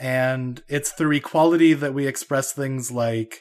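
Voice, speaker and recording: Here a man talks at a fairly slow pace with an Idaho accent. His pitch is medium and his intonation fairly even. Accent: American (Idaho). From US, Idaho. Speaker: computer science researcher. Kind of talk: casual interview chat.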